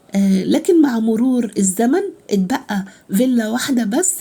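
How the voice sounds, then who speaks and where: This woman speaks with an Egyptian accent and lively intonation. Her tone is dark and mellow. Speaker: travel vlogger. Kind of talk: guided tour vlog. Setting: outdoors at archaeological site. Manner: hesitant, many fillers.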